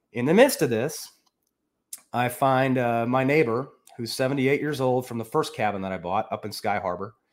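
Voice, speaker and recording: Recorded very cleanly with a silent background, a man with an American accent speaks at a moderate pace and medium pitch, with ordinary pitch variation. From US Midwest, northern Illinois. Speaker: accounting professor and real estate investor. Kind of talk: casual interview.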